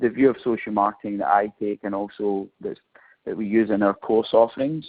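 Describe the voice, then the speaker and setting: At a moderate pace, a man with a Scottish accent talks at a medium pitch with fairly even intonation. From Scotland. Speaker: professor. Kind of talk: webinar presentation. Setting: online webinar. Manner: hesitant, frequent fillers.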